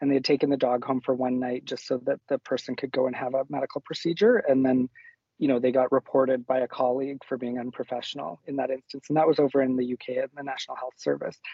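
Speaking very fast, a man has a Canadian accent and a medium pitch. His intonation stays flat and monotone. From rural northern Alberta, Canada. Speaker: nurse and nursing educator. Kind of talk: casual interview chat.

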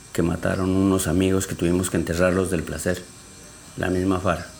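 Audible room echo and noticeable background noise surround a man speaking at a fairly low pitch. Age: 60s. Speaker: community leader. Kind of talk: testimony.

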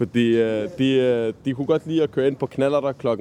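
A man speaks with a medium pitch and quite a brisk delivery. The rise and fall of his voice is ordinary. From Copenhagen, Nørrebro. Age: 20s. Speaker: volunteer tour guide, student. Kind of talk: guided walking tour. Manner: halting, many fillers.

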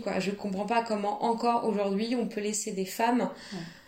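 Speaking fairly quickly in a flat monotone, a woman with a medium-pitched voice comes through over noticeable background noise. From France, Nantes. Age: 30s. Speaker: asylum lawyer sharing illness story. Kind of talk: testimony. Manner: hesitant, many fillers.

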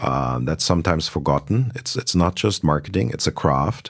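With a German accent, a man talks at a moderate pace in a very deep, low pitch, his voice showing vocal fry and very wide pitch swings. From Germany (Berlin). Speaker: luxury e-commerce executive. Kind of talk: interview. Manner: repetitive stammering starts.

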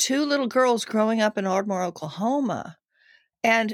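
A woman speaks in a fairly high pitch with lively intonation. She has a plain, everyday voice. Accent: American. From Texas (Denton, Fort Worth). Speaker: actress, dancer and animal communicator. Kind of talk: casual interview.

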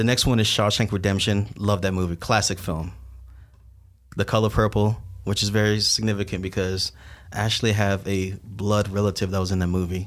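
A man talks at a fairly quick pace with a fairly low pitch and very even loudness. The recording is very clean, with a silent background. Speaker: filmmaker and podcast host. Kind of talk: casual chat podcast. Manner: upbeat, enthusiastic.

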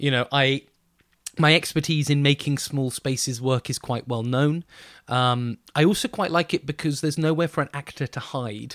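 On a very clean recording with a silent background and a dry, close sound with no echo, a man with a southern English accent talks at a moderate pace and a fairly high pitch, with ordinary pitch variation. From southern England, Bournemouth. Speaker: theatre director. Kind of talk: interview.

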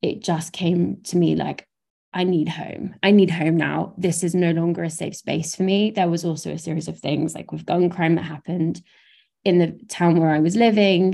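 Speaking with a southern English accent, a woman has a dark, mellow tone, a fairly low pitch and monotone, flat intonation. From southern England, Brighton. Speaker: theatre director and producer. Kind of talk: interview conversation.

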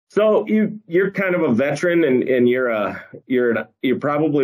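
A man with an Upper Midwest accent speaks at a moderate pace. His intonation is lively. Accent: Upper Midwest American. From northeast South Dakota. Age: 40s. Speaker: podcast host, state wildlife agency communications. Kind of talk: casual chat. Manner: hesitant, filler-heavy.

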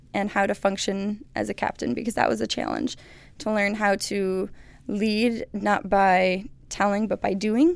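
A woman speaks at a fairly slow pace and a medium pitch. Hers is an unremarkable speaking voice. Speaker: research technician and former college sprinter. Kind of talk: casual interview conversation.

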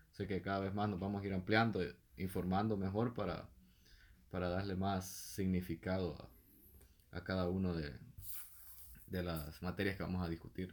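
A man with a very deep, low pitch speaks at a moderate pace with fairly even intonation and long, frequent pauses. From El Salvador, San Antonio Pajonal. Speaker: podcast co-host. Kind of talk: casual chat.

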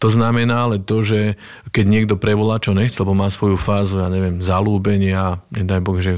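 A man with a western Slovak accent talks at a moderate pace in a fairly low pitch, his intonation monotone and flat. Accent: Trnava-region Slovak, harder. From western Slovakia, Nové Mesto nad Váhom. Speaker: regional director in financial services. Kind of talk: casual interview. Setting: studio.

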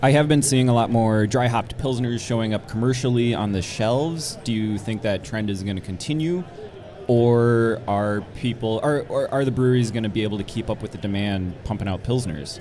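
This man talks at a fairly quick pace with a medium pitch and ordinary pitch variation. There is noticeable background noise. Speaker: podcast host interviewer. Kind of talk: casual interview chat. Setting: live on convention floor.

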